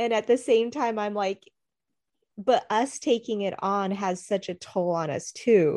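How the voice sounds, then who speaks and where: With an American accent, a woman speaks fairly slowly at a medium pitch with ordinary pitch variation over a quiet background, an unremarkable speaking voice. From California, US. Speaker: novelist. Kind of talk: interview.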